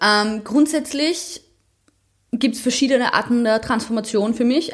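A somewhat breathy woman's voice at a fairly slow pace, with ordinary pitch variation. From Austria, Graz. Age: 30s. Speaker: powerlifter. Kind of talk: interview.

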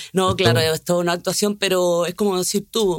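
A speaker with a Chilean accent. The pace is fairly quick. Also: woman. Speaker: actress. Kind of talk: casual conversation.

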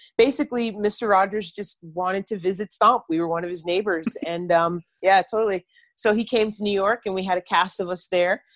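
A woman with an American accent speaks at a fairly quick pace in a normal speaking voice, at medium pitch. Her pitch varies in an ordinary way, and the background is quiet. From US South, Atlanta, Georgia. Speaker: actor, drummer and theater director. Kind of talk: interview.

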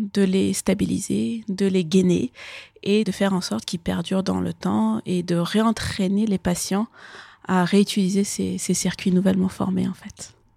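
On a very clean recording with a silent background, a woman speaks at a medium pitch with ordinary pitch variation and a dark, mellow tone. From Afghanistan (Kabul). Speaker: neurobiologist. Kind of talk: interview. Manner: hesitant, many fillers and repetitions.

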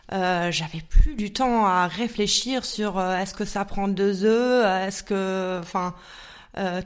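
A woman's medium-pitched voice at a very slow pace, with fairly even intonation, on a very clean recording with a silent background. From Munich, Germany. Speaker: psychologist and coach. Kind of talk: interview. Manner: hesitant.

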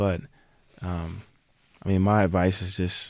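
With an American accent and a very deep, low pitch, a man speaks at a moderate pace with fairly even intonation, on a very clean recording with a silent background. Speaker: musician. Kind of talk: casual interview.

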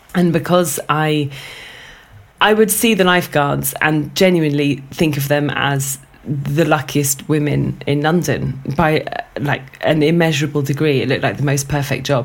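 Noticeable background noise sits behind a woman speaking in a very deep, low pitch. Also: ordinary pitch variation, moderate pace. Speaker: journalist and author. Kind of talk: casual interview chat. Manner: animated, laughs often.

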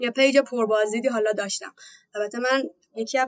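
This woman's voice sits at a fairly high pitch. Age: 20s. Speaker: Instagram influencer and office employee. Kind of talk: interview. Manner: halting.

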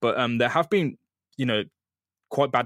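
A man's fairly bright tone comes through with a dry, close sound and no echo.

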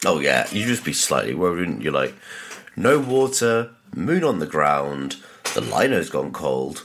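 Noticeable background noise sits behind a man with a British accent. His voice is very deep and low, with very wide pitch swings. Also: fairly slow pace. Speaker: podcast co-host. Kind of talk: casual chat. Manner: jokey, laughs often.

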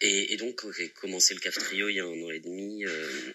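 A man is speaking. His pace is moderate. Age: 20s. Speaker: patient sharing testimony. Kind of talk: testimony. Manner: halting, many repeated words.

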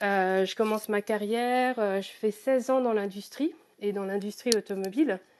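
An ordinary speaking voice from a woman at medium pitch, with fairly even intonation and a fairly slow pace against a quiet background. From Normandy, France. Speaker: crypto-artist. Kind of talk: interview. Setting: live audio chat room.

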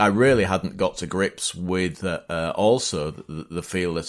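A man with a Yorkshire accent at a moderate pace. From Yorkshire, northern England. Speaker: podcast host and battlefield historian.

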